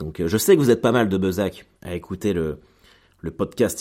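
A man with a very deep, low pitch speaks fairly quickly in a dark, mellow tone, his intonation lively. The recording is very clean, with a silent background. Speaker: comedian and podcaster. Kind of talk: casual monologue. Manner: hesitant, many fillers.

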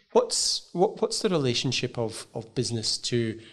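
A man with a Glasgow accent speaks at a moderate pace. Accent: Scottish (Glasgow). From Scotland (Glasgow). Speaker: podcast host and professor. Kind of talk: interview. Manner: halting, many fillers.

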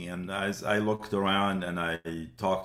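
A man with an Arabic accent and a very deep, low pitch speaks at a moderate pace in fairly even intonation. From West Bank, Palestine. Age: 70s. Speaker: museum founder and director. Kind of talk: interview. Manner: hesitant, many fillers.

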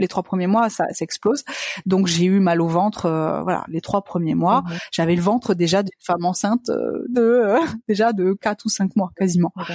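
An ordinary speaking voice from a woman, medium in pitch, with ordinary pitch variation, a moderate pace and a dry, close sound with no echo. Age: 30s. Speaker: business manager sharing fertility journey. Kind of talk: interview testimony.

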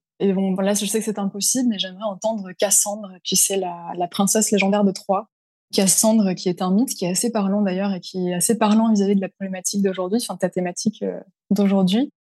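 A woman with a medium pitch speaks at a fairly quick pace in a dark, mellow, somewhat breathy voice with monotone, flat intonation. The sound is dry and close with no echo over a quiet background. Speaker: freelance LinkedIn communications consultant. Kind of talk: interview.

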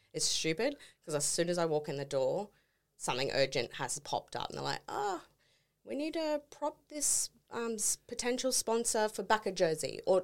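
A woman with an Australian accent speaks at a moderate pace, her pitch swinging very widely, on a very clean recording with a silent background. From Townsville, north Queensland, Australia. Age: 30s. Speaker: sports team graphic designer. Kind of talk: casual chat. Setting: studio.

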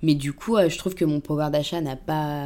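This woman's pitch sits very deep and low. Her tone is dark and mellow. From Paris suburbs, France. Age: 20s. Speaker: communications agency worker. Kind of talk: casual interview. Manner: hesitant, many fillers.

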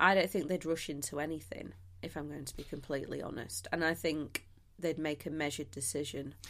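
With vocal fry and a very deep, low pitch, a woman talks at a fairly quick pace with ordinary pitch variation. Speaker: guest host, history podcaster. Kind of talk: casual chat. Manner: animated, jokey.

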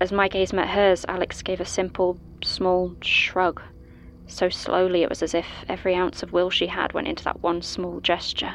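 Over noticeable background noise, a woman of medium pitch speaks at a moderate pace in a monotone, flat intonation. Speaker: fictional statement giver telling her story. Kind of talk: ghost story telling, first-person scripted horror narration of a past ordeal. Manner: hushed, hesitant, then tense and shaken as the fear builds.

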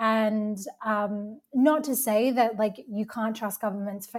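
A woman speaks in a fairly high, somewhat breathy voice with fairly even intonation. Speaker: healing practitioner. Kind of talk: roundtable conversation.

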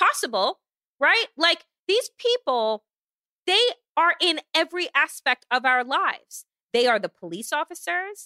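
A woman's raised, projected voice has a bright, sharp tone and moves at a fairly slow pace in a very clean recording with a silent background. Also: dry, close sound with no echo. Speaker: podcast co-host. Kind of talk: angry rant. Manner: heated and forceful.

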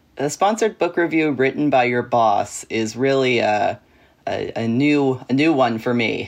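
A man speaks in an ordinary speaking voice at a medium pitch, keeping a moderate pace and ordinary pitch variation. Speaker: journalist or media commentator. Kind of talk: casual chat.

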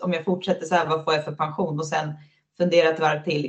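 Somewhat breathy, a woman speaks very fast at a very deep, low pitch. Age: 30s. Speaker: floorball player. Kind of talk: casual interview chat.

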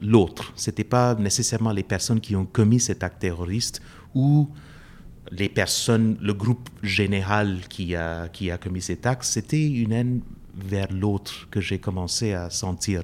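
A man's fairly low voice, with ordinary pitch variation, unfolds at a fairly slow pace. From India. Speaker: professor. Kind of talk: interview. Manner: halting.

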